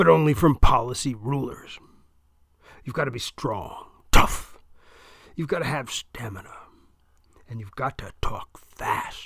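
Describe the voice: A man's put-on character voice with lively intonation, vocal fry and a slightly husky edge, at a fairly slow pace with long, frequent pauses. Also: medium pitch for a man.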